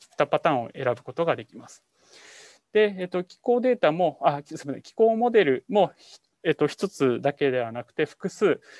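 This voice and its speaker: Over a quiet background, a man with a high pitch talks at a fairly quick pace, with very wide pitch swings and big swings in loudness, in a dry, close sound with no echo. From Japan, Iwate Prefecture. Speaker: climate adaptation researcher. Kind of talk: lecture with live demo. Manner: halting, many fillers.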